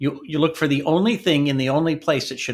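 A man with a fairly high pitch, an ordinary speaking voice and an American accent, with ordinary pitch variation at a fairly quick pace. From US, North Dakota and Washington State. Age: 60s. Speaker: IT business owner and author. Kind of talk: interview.

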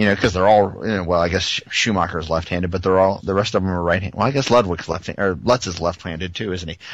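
A man with a very deep, low pitch speaks at a very fast pace with ordinary pitch variation. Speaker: sports podcast co-host. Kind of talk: casual sports chat. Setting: online call recording.

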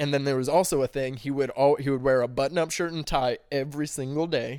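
A man with an American accent talks at a fairly quick pace in a fairly high pitch. The recording is very clean with a silent background. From US Midwest, St. Louis area, Missouri. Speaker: podcast guest. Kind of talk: casual chat.

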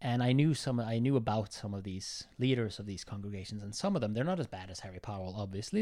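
On a very clean recording with a silent background, a man with a dark, mellow tone talks very fast with hardly any pauses and big swings in loudness. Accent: Norwegian. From southern Norway. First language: Norwegian. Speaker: film club member. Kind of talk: casual chat.

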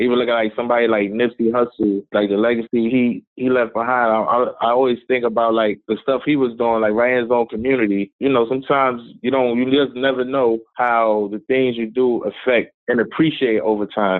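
A man with a medium pitch talks at a fairly quick pace in a monotone, flat intonation, with very even loudness and hardly any pauses. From South Bronx, New York City. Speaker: hip hop artist and motivational speaker. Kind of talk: interview.

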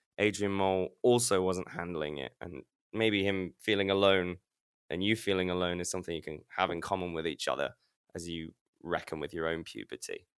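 A man with a very deep, low voice and a slight Leicester accent talks at a fairly quick pace with fairly even intonation. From Leicester, England. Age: 20s. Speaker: guest storyteller. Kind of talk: storytelling conversation.

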